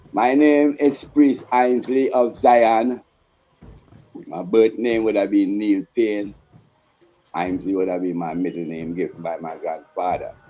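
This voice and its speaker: A man's fairly low voice at a fairly slow pace, with lively intonation, big swings in loudness, long and frequent pauses, and music in the background. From Trinidad, Tunapuna. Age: 60s. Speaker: Rastafarian priest. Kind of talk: interview testimony.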